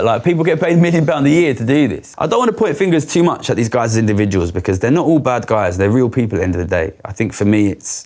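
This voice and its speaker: A man's very fast, animated talk with hardly any pauses and very wide pitch swings, over noticeable background noise. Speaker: former trader. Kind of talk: interview storytelling.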